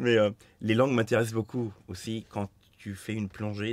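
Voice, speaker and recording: A man with a Turkish accent speaks at a fairly low pitch in a dry, close sound with no echo, on a very clean recording with a silent background. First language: Turkish (speaking French). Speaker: master coppersmith, business founder. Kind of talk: casual interview.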